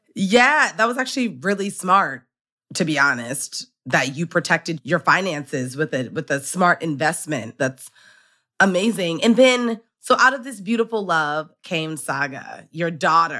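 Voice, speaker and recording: This voice has a bright, sharp tone and very wide pitch swings, moving at a fairly slow pace. The recording is very clean, with a silent background. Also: woman, fairly low pitch for a woman. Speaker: podcast host. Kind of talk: interview.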